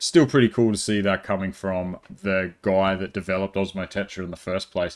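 A man speaks at a very deep, low pitch and a fairly quick pace. The background is quiet. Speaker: tech tutorial maker. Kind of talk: tutorial. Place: home room.

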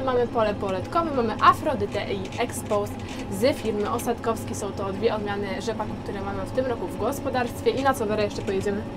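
A woman talks at a very fast pace with ordinary pitch variation. Loud background noise runs behind her. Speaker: farm vlogger. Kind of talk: casual vlog chat. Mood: playful, laughing. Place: farm machine. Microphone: lapel.

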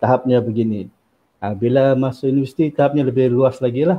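Moving at a fairly quick pace, a man uses an unremarkable speaking voice at medium pitch with ordinary pitch variation. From Sabah, Malaysia. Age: 40s. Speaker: university lecturer. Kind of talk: interview about his book. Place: home room. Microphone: video call.

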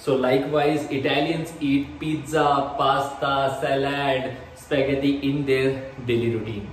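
A man's fairly high voice at a very slow pace with hardly any pauses, audible room echo and light background noise. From India. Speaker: vlogger. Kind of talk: vlog monologue. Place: home room. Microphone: phone near.

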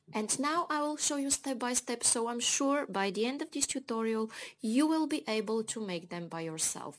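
At a moderate pace, a woman speaks with lively intonation and a fairly high pitch. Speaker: beading tutorial creator. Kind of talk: tutorial. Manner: friendly, enthusiastic. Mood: calm, friendly. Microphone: phone near.

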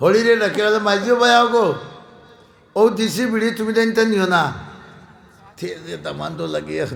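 A man with a Sylheti accent speaks at a high pitch with fairly even intonation, amid noticeable background noise and audible room echo. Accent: Sylheti Bengali. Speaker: Islamic preacher. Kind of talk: sermon storytelling.

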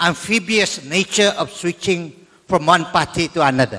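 This man talks at a fairly slow pace in a high pitch. The background is quiet. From Sabah, Malaysia. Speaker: audience member, former state legislator; audience member. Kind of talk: audience question. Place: hall. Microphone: handheld.

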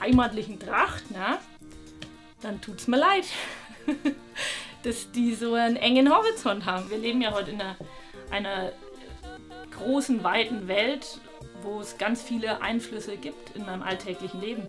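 With clear music in the background, the speaker goes at a fairly slow pace, pausing long and often, with big swings in loudness and ordinary pitch variation. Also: woman, fairly high pitch for a woman. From Bavarian Swabia, Germany. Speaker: traditional costume designer. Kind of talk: interview answer. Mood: opinionated, lively, some hesitations. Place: workshop.

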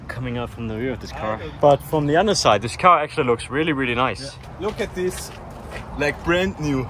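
Light background noise sits behind a man with a fairly high pitch. He speaks with a German accent. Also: dry sound with no echo. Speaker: car YouTuber. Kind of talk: casual vlog narration. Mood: disappointed, resigned. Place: open country. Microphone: phone near.

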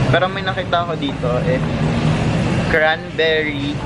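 The background is loud with noise. Through it, a man talks. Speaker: vlogger. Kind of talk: casual vlog chat. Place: shop. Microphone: phone near.

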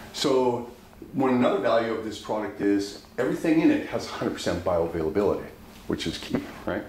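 Amid audible room echo and light background noise, a man speaks at a moderate pace with lively intonation. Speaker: dispensary educator. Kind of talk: pitchman-style product demo, upbeat sales pitch with repeated 'right?' tags. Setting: video recording showing products to camera. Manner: animated, enthusiastic, persuasive, repeatedly checking for agreement. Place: home room. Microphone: camera far.

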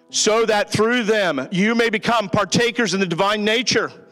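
Fairly slow speech over faint music in the background. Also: man. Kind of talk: scripture reading and prayer. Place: church. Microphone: handheld.

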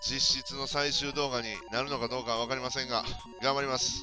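The speaker talks in a Kansai accent. Music plays in the background. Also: man. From Kansai, Japan. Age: middle-aged. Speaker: gaming commentator. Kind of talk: let's play game commentary. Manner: excitable, chatty.

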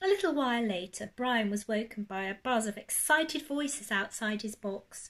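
This unforced reading voice has lively intonation.

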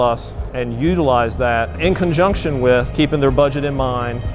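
A man is speaking. There is faint music in the background. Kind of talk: guided tour explanation. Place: factory.

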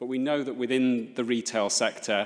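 A man's speech moves at a moderate speed, its intonation fairly even, with a quiet background behind it. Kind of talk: formal hearing submission. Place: meeting room. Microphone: podium.

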